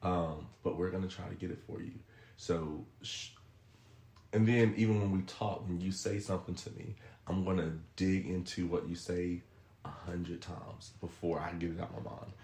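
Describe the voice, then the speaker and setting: A man speaks with a very deep, low pitch and a dark, mellow tone. His voice is somewhat breathy, and his intonation is fairly even. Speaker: podcast guest giving relationship advice. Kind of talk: casual podcast chat. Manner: fast.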